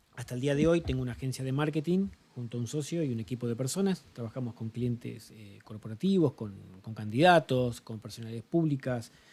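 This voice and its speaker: Music sits in the background as a man speaks at a fairly quick pace and medium pitch. His loudness swings widely. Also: lively intonation. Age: 40s. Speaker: marketing agency founder and mentor. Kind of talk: interview.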